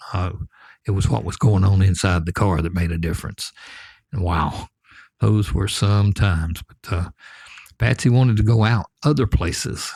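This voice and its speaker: A man with a Southern US accent talks at a moderate pace in a fairly low, somewhat breathy voice, his tone relaxed and his intonation lively. The sound is dry and close with no echo, the recording very clean against a silent background, and he leaves long, frequent pauses. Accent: Southern US (Georgia). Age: 70s. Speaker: storyteller. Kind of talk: storytelling. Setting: back porch. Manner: relaxed, folksy.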